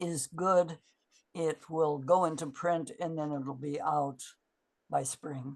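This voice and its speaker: A woman's very deep, low voice at a very slow pace, with ordinary pitch variation and long, frequent pauses. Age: 80s+. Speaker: therapy method founder and teacher. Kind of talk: conference talk with Q&A. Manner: halting.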